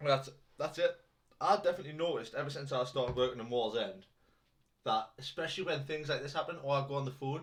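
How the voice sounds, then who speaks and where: Somewhat breathy and fairly high-pitched, a man speaks very fast with ordinary pitch variation. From northeast England, between Newcastle and Durham. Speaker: podcast co-host. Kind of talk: casual chat.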